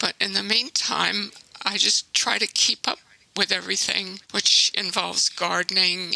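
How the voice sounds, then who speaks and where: Recorded with a dry, close sound and no echo, a woman speaks at a fairly slow pace over noticeable background noise. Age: 80s+. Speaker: environmental activist. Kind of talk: interview.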